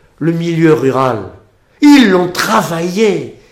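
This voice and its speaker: A man's high voice at a very slow pace, with audible room echo. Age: 70s. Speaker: history society head. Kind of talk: interview. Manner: halting.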